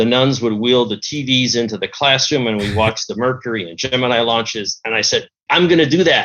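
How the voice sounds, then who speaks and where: A man with a plain, everyday voice, medium in pitch, at a moderate pace. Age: 60s. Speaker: retired aerospace engineer and model builder. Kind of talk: interview.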